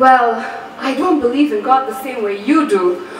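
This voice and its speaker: Noticeable background noise is present throughout. A woman's voice is heard over it. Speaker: spoken word poet. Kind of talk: spoken word poetry performance.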